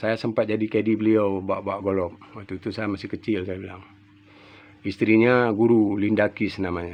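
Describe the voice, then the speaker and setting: A man's voice sits fairly low and moves at a fairly quick pace. The intonation stays monotone and flat. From Aceh, Indonesia. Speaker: furniture maker. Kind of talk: casual monologue.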